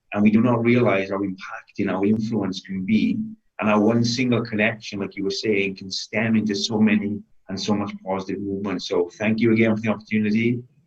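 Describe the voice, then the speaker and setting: A man speaks fairly quickly with a Welsh accent. His fairly low voice holds a flat, monotone intonation. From Wales. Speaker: bodybuilder and fitness coach. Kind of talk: interview.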